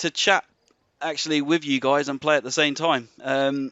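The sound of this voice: This man speaks at a moderate pace with fairly high pitch and fairly even intonation. His tone is bright and sharp, and the sound is dry and close with no echo.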